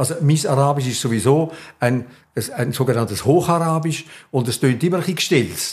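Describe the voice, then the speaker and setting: With a Swiss accent, the speaker talks at a fairly quick pace in a somewhat breathy voice with ordinary pitch variation. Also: man, fairly high pitch for a man. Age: 80s+. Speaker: journalist. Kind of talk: interview.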